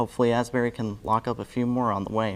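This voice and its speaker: A man's medium-pitched voice, an ordinary speaking voice, at a fairly quick pace. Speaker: student news and sports anchor. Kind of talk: sports anchor read. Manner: casual, joking.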